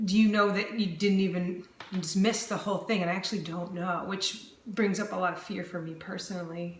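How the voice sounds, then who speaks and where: Over noticeable background noise and audible room echo, a woman talks at a fairly quick pace with hardly any pauses, a medium pitch and fairly even intonation. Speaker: vlogger sharing chronic illness journey. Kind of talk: personal video diary. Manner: slightly slurred speech; calm, still.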